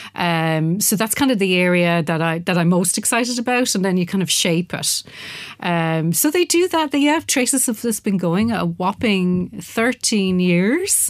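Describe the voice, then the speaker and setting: A woman's voice at very even loudness, with hardly any pauses. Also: medium pitch for a woman, fairly slow pace. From Ireland, Wexford. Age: 50s. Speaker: dance artist and lecturer. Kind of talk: interview. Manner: hesitant, many fillers and repetitions.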